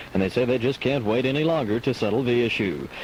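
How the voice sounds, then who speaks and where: A man talks at a very fast pace. Noticeable background noise runs under his speech. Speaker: radio news anchor. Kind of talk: local radio newscast reading. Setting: 1985 AM/FM radio broadcast, recorded from a cassette boombox.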